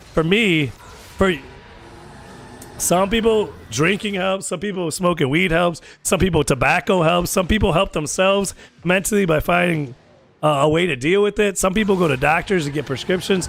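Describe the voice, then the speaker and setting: A man's animated, high-pitched delivery in a Chicago accent, broken by long, frequent pauses. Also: ordinary pitch variation, moderate pace. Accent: sounds argumentative due to Chicago origin. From US Midwest, Chicago area. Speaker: gaming streamer. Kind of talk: casual chat. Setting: live stream.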